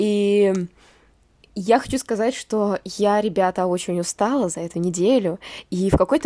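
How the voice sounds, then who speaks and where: A woman's voice has a dark, mellow tone and a fairly high pitch. The recording is very clean with a silent background, dry and close with no echo. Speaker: podcast co-host. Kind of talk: casual chat. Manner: sad-sounding.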